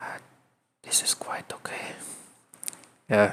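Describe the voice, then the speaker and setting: This man speaks with a non-native accent. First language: not English. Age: 30s. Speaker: vlogger. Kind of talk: personal talk to camera. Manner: halting, many fillers and repeats.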